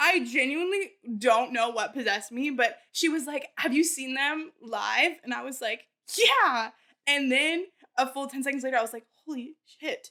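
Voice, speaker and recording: A raised, projected voice with a bright, sharp tone moves at a moderate pace, its pitch varying in an ordinary way. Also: woman, high pitch for a woman. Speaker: podcast co-host. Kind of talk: casual chat. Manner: exaggerated storytelling.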